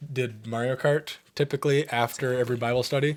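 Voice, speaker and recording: A man's medium-pitched voice carries fairly even intonation. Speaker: podcast co-host. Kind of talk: casual storytelling chat. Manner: fast.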